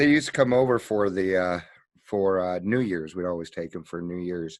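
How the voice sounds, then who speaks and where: Against a quiet background, a man with a plain, everyday voice speaks at a moderate pace, with a fairly low pitch and ordinary pitch variation. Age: 50s. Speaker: podcast host in recovery. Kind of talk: casual interview.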